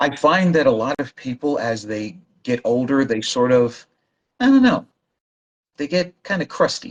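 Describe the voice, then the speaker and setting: The delivery is fairly slow, broken by long, frequent pauses. Pitch varies in an ordinary way. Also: man. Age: 60s. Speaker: language learning guest. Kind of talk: casual chat.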